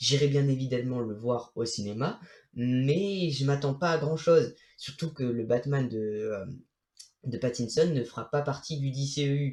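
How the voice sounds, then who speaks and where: The voice is somewhat breathy and shows ordinary pitch variation. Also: man, fairly high pitch for a man, fairly slow pace. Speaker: YouTuber, film commentator. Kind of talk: video review monologue. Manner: halting, many fillers and restarts.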